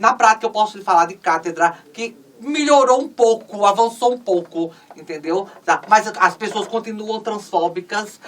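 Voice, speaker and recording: At a moderate pace, a woman with a medium-pitched voice and ordinary pitch variation speaks over noticeable background noise. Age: 60s. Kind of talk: interview conversation. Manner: halting, many fillers.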